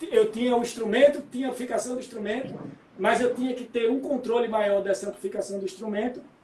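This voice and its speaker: Over noticeable background noise, a man with an extremely high pitch and fairly even intonation speaks at a very fast pace. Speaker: musician. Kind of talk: interview.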